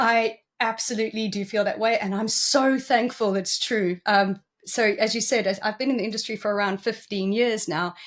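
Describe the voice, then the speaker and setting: With a South African accent, a woman talks at a moderate pace in a fairly high voice, her intonation fairly even. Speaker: cybersecurity executive. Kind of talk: interview.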